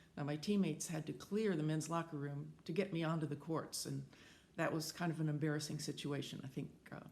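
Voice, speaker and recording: An American accent with vocal fry comes through at a fairly quick pace. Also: woman. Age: 70s. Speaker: senior athlete and advocate. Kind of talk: prepared testimony statement. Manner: formal.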